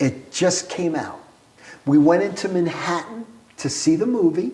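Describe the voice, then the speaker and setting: In a New York accent, a man with a high pitch and ordinary pitch variation speaks at a very slow pace, with noticeable background noise and audible room echo. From Brooklyn, New York City. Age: 70s. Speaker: entrepreneur. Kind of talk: casual interview storytelling.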